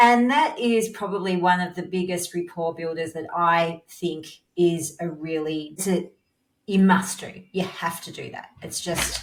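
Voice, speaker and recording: At a fairly slow pace, a woman with a normal speaking voice and a fairly low pitch uses ordinary pitch variation and big swings in loudness. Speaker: podcast host, dental practice consultant. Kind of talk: interview.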